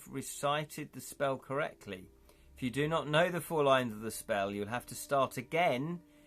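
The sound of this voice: An unforced reading voice is heard here.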